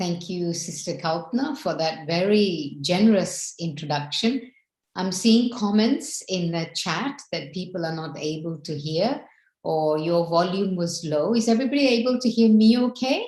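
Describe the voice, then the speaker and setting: A somewhat breathy woman speaks at a moderate pace in a fairly low pitch. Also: lively intonation. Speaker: spiritual teacher. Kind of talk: spiritual talk.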